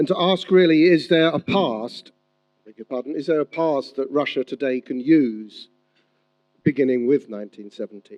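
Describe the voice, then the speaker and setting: A man with an ordinary speaking voice, fairly high pitch, lively intonation, big swings in loudness and a moderate pace. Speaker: historian giving a public talk. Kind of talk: lecture. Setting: stage with audience, hotel venue, simultaneous translation.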